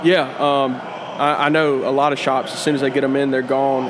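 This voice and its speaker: An American-accented man speaks at a very fast pace in a flat monotone. His pitch is fairly high, and background noise is noticeable. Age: 20s. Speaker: cigar shop employee. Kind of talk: casual chat. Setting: cigar shop.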